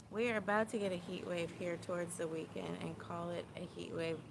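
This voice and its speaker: Room echo can be heard around the speaker. A woman keeps a moderate pace. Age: 40s. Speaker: livestreamer. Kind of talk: casual livestream chat. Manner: animated.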